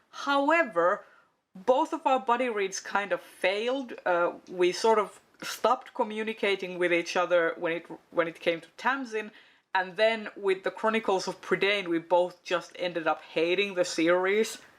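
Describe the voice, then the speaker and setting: Lively intonation from a woman at a medium pitch and a moderate pace. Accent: Finnish. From Finland. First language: Finnish. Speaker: book video creator. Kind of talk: casual chat. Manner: hesitant, many fillers.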